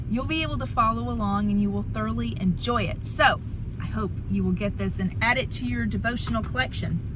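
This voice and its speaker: A woman speaks at a fairly quick pace over noticeable background noise. Audible echo from the room surrounds her voice. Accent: Southern US. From US South, Alabama. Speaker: author and devotional book reviewer. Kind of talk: casual vlog book review. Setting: in a car.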